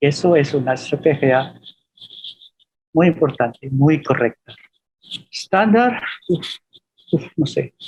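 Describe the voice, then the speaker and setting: At a very slow pace with long, frequent pauses, a man speaks at a fairly high pitch with lively intonation. His voice is somewhat breathy, and its loudness stays very even. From Philippines. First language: Filipino (speaking Spanish). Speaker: professor. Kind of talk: webinar Q&A talk. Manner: halting with fillers.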